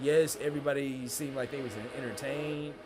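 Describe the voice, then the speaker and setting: A man talks at a moderate pace with a medium pitch. Room echo is audible, and background noise is noticeable. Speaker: livestream host and content creator. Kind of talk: casual livestream talk. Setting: livestream. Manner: loud; animated.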